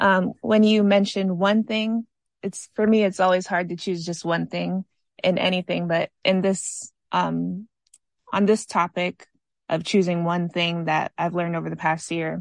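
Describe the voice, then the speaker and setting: Against a quiet background with a dry, close sound and no echo, a woman with an American accent speaks in a normal speaking voice of medium pitch, at a fairly slow pace with fairly even intonation. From Maryland. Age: 20s. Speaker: worship singer. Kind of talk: casual chat.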